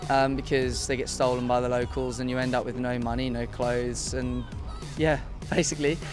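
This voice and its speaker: With an English accent, the speaker goes at a moderate pace while music plays in the background. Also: man. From England. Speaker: video game industry worker. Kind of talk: interview answer. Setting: outdoors at a music festival. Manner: casual, hesitant.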